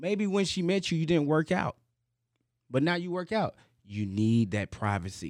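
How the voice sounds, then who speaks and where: A man with an American accent talks at a moderate pace, his fairly high pitch making very wide swings. He leaves long, frequent pauses, and the recording is very clean with a silent background. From Houston, Texas. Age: 30s. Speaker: comedian. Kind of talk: casual chat.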